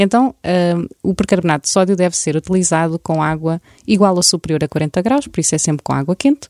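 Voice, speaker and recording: A plain, everyday voice moves at a fairly quick pace with ordinary pitch variation. The sound is dry and close, with no echo. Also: woman, fairly low pitch for a woman. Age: 30s. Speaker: home-care content creator. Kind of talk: casual interview with practical tips.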